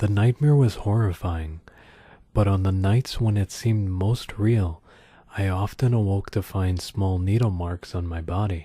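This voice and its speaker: Whispering and soft-spoken, the somewhat breathy voice comes through on a very clean recording with a silent background. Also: man, fairly slow pace. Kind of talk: soft-spoken creepypasta reading for ASMR. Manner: soft-spoken, whispery.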